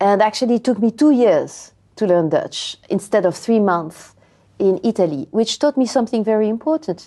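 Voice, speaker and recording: A woman in a French accent with a fairly high pitch, a dark, mellow tone, a moderate pace and very even loudness. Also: lively intonation. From France. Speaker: language education researcher. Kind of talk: interview. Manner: hesitant, many fillers.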